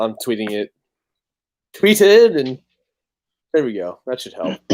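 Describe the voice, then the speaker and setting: A man mumbles at a fairly slow pace and medium pitch, with very wide pitch swings and big swings in loudness, in a dry, close sound with no echo. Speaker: talk show co-host. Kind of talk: casual chat. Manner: stuttering, mumbling.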